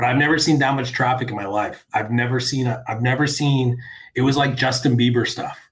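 A somewhat breathy male voice at medium pitch, fairly quick and fairly even in intonation, with audible room echo. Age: 40s. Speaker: website founder and media executive. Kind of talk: interview. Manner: halting, with frequent restarts.

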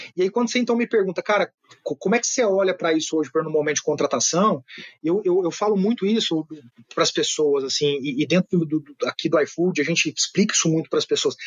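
A man talks at a very fast pace, his pitch high and his intonation lively. His loudness stays very even throughout. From Brazil, Minas Gerais (Uberaba). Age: 30s. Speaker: business executive and author. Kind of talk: podcast interview.

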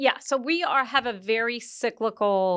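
Here a woman has an unremarkable speaking voice with ordinary pitch variation. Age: 50s. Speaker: equity strategist. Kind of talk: interview.

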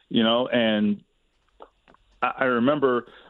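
A man has a normal speaking voice. His medium pitch moves with ordinary pitch variation. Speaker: sports radio guest discussing football. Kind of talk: sports radio discussion.

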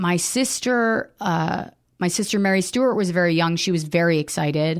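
Recorded very cleanly over a silent background, a woman speaks in an ordinary speaking voice. Her pitch is fairly low, with ordinary pitch variation. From US, wealthy area. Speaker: comedian and writer. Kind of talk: personal testimony interview.

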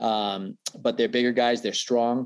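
A man with an American accent speaks in a normal speaking voice at a moderate pace over a quiet background. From Boston area, Massachusetts. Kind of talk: casual interview.

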